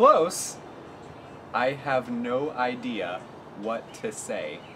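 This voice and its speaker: A man talks very slowly while light background noise sits behind him. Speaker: daughter with her own channel, calls the other speaker Mom. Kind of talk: casual family banter to camera. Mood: playful, laughing. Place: home room.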